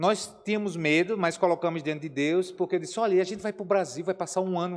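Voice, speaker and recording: With noticeable background noise, a man with a northeastern Brazilian accent speaks at a very fast pace and high pitch. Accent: Aracaju (northeastern Brazilian). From Brazil, Aracaju (Sergipe). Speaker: missionary pastor. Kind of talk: Q&A talk in Sunday school class. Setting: church classroom. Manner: animated.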